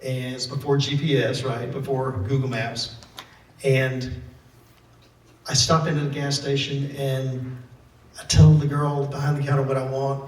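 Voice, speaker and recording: Speaking with a Southern US accent, a man talks at a fairly slow pace in a monotone, flat delivery with long, frequent pauses, while noticeable background noise and audible room echo fill the recording. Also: fairly high pitch for a man. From Mississippi. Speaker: author and photojournalist. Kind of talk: talk to an audience.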